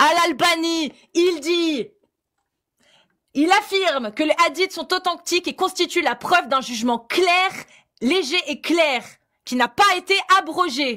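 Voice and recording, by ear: A woman's raised, projected voice, extremely high in pitch and bright and sharp in tone, with lively intonation, a very slow pace and long, frequent pauses. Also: very clean recording, silent background.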